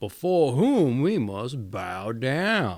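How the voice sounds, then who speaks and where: Putting on a character voice, a man lets his pitch swing very widely. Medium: read story. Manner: measured, cautious.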